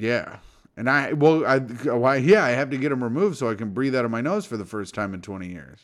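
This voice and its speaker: An unremarkable speaking voice from a man, medium in pitch, fairly quick, with lively intonation and big swings in loudness. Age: 30s. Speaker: podcast host. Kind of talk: casual chat. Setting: at home.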